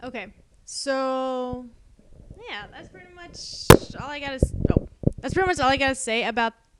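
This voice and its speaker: A woman speaks with an American accent at a high pitch. Her intonation is lively. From Texas. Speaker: art YouTuber. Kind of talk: casual voiceover commentary. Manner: rambling, hesitant with many fillers.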